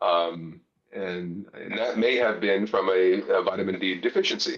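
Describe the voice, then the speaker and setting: Speaking fairly slowly, a man talks with a Mid-Atlantic accent. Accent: American, Mid-Atlantic. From US Northeast, Pennsylvania near Philadelphia. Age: 60s. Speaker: gardening video maker. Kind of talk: casual interview chat. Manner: halting, many fillers.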